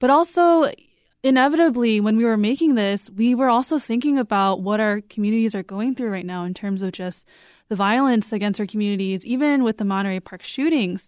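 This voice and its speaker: A woman with an American accent talks at a fairly quick pace in a fairly high pitch. It is a normal speaking voice with lively intonation. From US, Korean American. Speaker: podcast producer. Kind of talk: interview.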